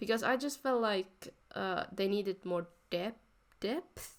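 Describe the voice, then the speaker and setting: A woman speaks at a very slow pace with a non-native accent. The recording is very clean, with a silent background. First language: not English. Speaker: art YouTuber. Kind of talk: voice-over commentary on drawing process. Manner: halting, self-correcting.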